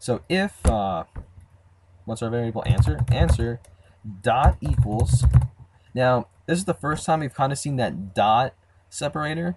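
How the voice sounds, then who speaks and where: Vocal fry marks a man's medium-pitched voice as he speaks fairly slowly, with very wide pitch swings and long, frequent pauses. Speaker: programming tutorial creator. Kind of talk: tutorial. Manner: casual, many fillers.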